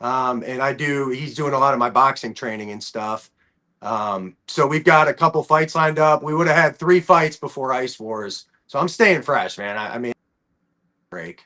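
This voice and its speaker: With an American accent, a man speaks at a moderate pace in a fairly high pitch, with a bright, sharp tone, lively intonation and big swings in loudness. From Ohio, US. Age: 30s. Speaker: bare-knuckle fighter and hockey player. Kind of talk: interview. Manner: casual, halting with fillers.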